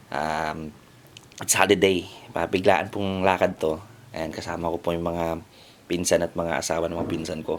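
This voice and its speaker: A soft-spoken man, very deep and low in pitch, monotone and flat, at a fairly slow pace. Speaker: vlogger. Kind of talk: casual vlog intro. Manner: soft-spoken, deliberately lowered voice.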